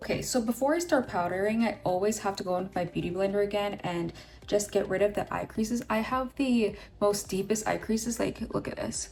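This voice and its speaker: Somewhat breathy and upbeat, a woman speaks at a fairly quick pace with a medium pitch and ordinary pitch variation. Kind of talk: makeup tutorial talk to camera. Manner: casual, upbeat.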